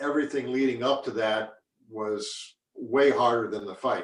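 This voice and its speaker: A man speaks at a medium pitch that varies in an ordinary way. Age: 60s. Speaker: retired mixed martial arts fighter. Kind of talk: interview. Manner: halting, many repeated words.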